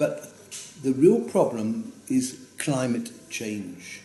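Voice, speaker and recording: A man at medium pitch makes very wide pitch swings, with audible room echo and noticeable background noise around him. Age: 90s. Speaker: grandfather giving birthday speech. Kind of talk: prepared birthday speech. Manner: halting, with fillers.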